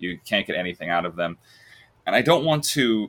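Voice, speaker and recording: A man with an American accent has a bright, sharp tone on a very clean recording with a silent background. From US, Long Island, New York. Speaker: film podcaster. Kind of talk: casual chat.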